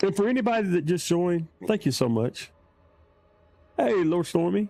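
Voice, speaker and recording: In a Southern US accent, a man with a high pitch talks at a moderate pace with lively intonation and very even loudness. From US South. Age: old. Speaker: gaming streamer. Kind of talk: live gameplay commentary. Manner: animated.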